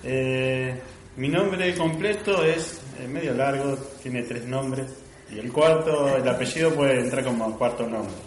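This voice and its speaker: There is audible room echo and noticeable background noise. A man speaks at a medium pitch and a fairly slow pace, with ordinary pitch variation. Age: 30s. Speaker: church member. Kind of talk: testimony. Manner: halting.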